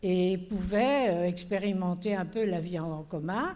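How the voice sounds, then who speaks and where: A woman speaks at a very slow pace in a medium pitch with a dark, mellow tone. Room echo is audible. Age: 80s+. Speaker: panelist, organizer of cohousing seminars. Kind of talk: panel discussion. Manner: hesitant, many fillers.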